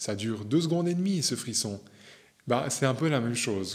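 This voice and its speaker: This man's medium-pitched voice moves at a fairly slow pace. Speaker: spiritual medium and teacher. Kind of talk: video monologue. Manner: hesitant fillers.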